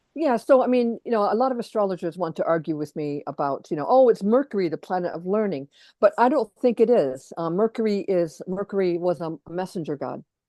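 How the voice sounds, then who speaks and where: A woman with an American accent speaks in a dark, mellow tone with very wide pitch swings and hardly any pauses. The sound is dry and close with no echo, and the background is quiet. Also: medium pitch for a woman, fairly quick pace. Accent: American, unchanged after years in England. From US Midwest, Detroit, Michigan. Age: 50s. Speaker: astrologer and educator. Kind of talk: interview conversation. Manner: halting, many fillers and repetitions.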